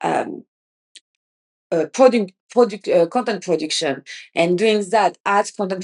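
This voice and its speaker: Recorded dry and close with no echo, a woman with a French accent talks with ordinary pitch variation. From France. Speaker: podcast host. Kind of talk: casual podcast monologue. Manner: halting, many restarts.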